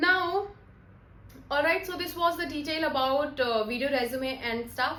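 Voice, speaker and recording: Projecting a raised voice, a woman speaks at a fairly slow pace with a high pitch, ordinary pitch variation and a bright, sharp tone, with audible room echo. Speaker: soft skills trainer. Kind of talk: tutorial. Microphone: broken mic, some noise.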